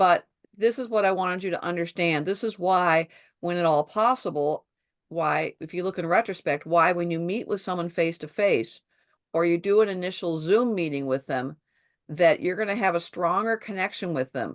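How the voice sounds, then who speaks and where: A woman's fairly low voice with ordinary pitch variation, dry and close with no echo, against a quiet background. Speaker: sales trainer. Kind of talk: online training session. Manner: fast.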